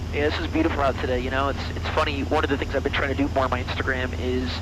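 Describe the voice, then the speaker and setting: Amid audible room echo and noticeable background noise, a man with a very deep, low pitch talks very fast, his pitch swinging very widely. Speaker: air traffic controller. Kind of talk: casual chat. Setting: in a small plane cockpit. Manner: clear, concise.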